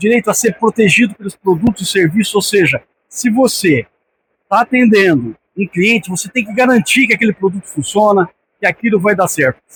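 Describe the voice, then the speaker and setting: A man talks in a high voice with ordinary pitch variation and a São Paulo interior accent. The sound is dry and close, with no echo. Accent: caipira accent (São Paulo countryside). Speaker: sales director giving a talk. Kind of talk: conference talk. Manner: casual, with hesitations and repetitions.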